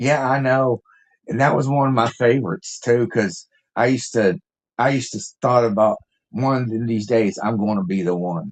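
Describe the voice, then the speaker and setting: An American-accented man at a moderate pace, ordinary pitch variation, and a quiet background. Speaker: musician. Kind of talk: casual interview chat. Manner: halting.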